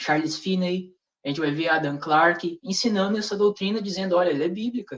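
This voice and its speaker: Ordinary pitch variation in a man's high voice. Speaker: religious speaker in panel discussion. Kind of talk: religious discussion with rebuttal. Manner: fast; hesitant, with many fillers.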